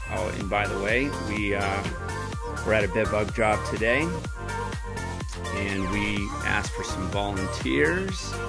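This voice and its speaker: Over loud background music, a man talks at a fairly slow pace. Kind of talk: demonstration commentary. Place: kitchen. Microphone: phone near.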